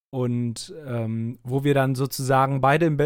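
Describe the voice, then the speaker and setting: A man at medium pitch speaks in a monotone, flat intonation on a very clean recording with a silent background. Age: 30s. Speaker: podcast co-host. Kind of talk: casual chat.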